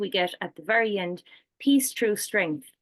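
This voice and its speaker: A woman with an Irish accent, a fairly high pitch and ordinary pitch variation. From Ireland. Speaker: peace researcher and programme coordinator. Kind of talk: panel discussion.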